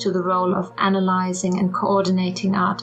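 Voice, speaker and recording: A woman's voice with audible room echo and music in the background. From Germany. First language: German. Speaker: art historian and amateur artist. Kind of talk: artist statement narration.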